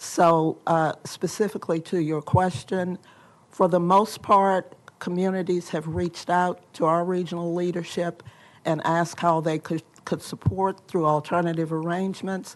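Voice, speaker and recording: A woman's fairly low, monotone, flat voice at a moderate pace against a quiet background. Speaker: state agency official. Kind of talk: testimony at legislative hearing. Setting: legislative committee hearing room. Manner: soft-spoken.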